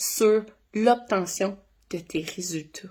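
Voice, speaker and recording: A woman is speaking. Her tone is animated. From Ontario, Canada (Franco-Ontarian). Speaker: dog trainer. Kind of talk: casual explainer video.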